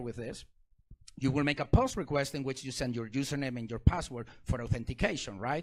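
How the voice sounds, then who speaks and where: Someone with a non-native accent talks at a very fast pace in an animated tone, with ordinary pitch variation. The recording is very clean, with a silent background. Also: man. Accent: foreign accent in English. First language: not English. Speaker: security researcher and speaker. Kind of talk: technical talk to a live audience. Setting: stage with audience.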